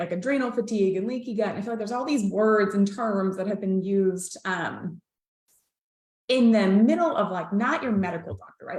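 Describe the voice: At a fairly quick pace, a woman speaks with lively intonation, a medium pitch and a slightly mellow tone.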